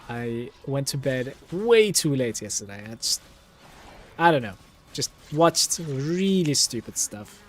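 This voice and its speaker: Music plays in the background while a man talks in a relaxed tone. His pitch is fairly high and his pace very slow. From Turkey. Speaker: gaming streamer. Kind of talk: live gameplay stream chat. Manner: casual, relaxed.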